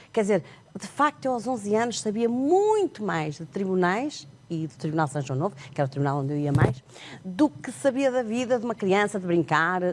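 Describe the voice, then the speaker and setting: The speech moves at a moderate pace with very wide swings in pitch. Background noise is noticeable. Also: woman. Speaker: sign language interpreter and author. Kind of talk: TV interview.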